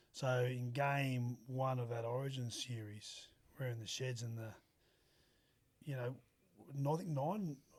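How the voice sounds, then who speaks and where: Speaking fairly slowly with long, frequent pauses, a man with a strong Australian accent has a medium-pitched, somewhat breathy voice. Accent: broad Australian. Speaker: former rugby league player. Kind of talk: casual interview chat. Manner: animated.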